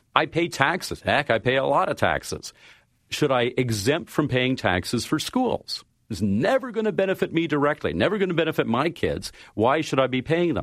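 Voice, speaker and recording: With a Canadian accent, a man speaks at a fairly high pitch, using very wide pitch swings and vocal fry. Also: moderate pace. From Canada. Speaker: science fiction writer. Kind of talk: interview.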